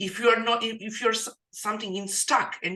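A woman with a non-native accent speaks at a moderate pace. Her fairly high voice has a bright, sharp tone. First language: not English. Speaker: podcast host and digital marketing coach. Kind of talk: casual interview. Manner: halting, filler-heavy.

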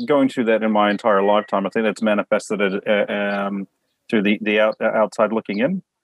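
With a rural New Zealand accent, a man speaks in a fairly low pitch. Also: very even loudness. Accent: New Zealand with country twang. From Samoa and New Zealand. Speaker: guest. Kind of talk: casual chat.

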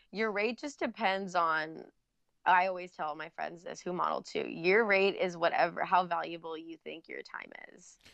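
With an ordinary speaking voice, a woman talks at a moderate pace, her medium pitch showing ordinary variation. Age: 20s. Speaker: Instagram model and YouTuber. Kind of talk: casual interview chat.

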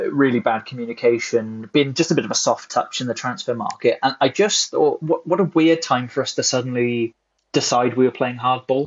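A man with a normal speaking voice talks at a fairly quick pace and medium pitch. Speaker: podcast host. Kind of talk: casual chat. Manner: joking, laughs a lot.

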